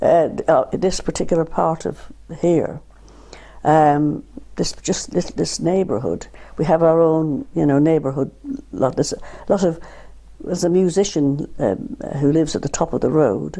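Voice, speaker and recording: A woman speaks at a moderate pace with lively intonation, leaving long, frequent pauses. Her very deep, low pitch has a dark, mellow tone and vocal fry. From Ireland, County Carlow. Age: 70s. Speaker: retired art therapist and artist. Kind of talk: oral history interview. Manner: halting, many repetitions.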